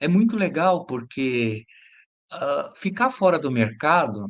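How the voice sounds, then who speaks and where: A man talks with very wide pitch swings. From Brazil, São Paulo. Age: 60s. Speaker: educator. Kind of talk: interview testimony.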